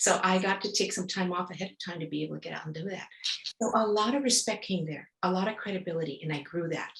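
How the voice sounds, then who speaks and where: The speech comes at a very fast pace with ordinary pitch variation and a somewhat breathy quality. It is delivered with a Spanish accent. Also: woman. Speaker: etiquette expert. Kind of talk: podcast interview. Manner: halting, many fillers.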